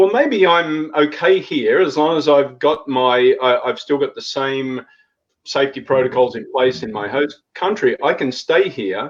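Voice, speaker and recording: A man with an Australian accent, fairly high-pitched, at a fairly slow pace. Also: ordinary pitch variation. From Australia, Sydney. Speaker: intercultural consultant and relocation trainer. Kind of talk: live panel discussion. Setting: live video stream.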